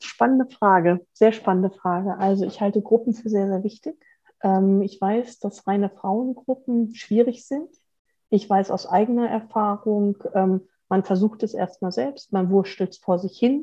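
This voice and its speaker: Speaking at a fairly slow pace, a woman uses a medium pitch with ordinary pitch variation and a dark, mellow tone. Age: 50s. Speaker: mechanical engineer and coach. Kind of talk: interview.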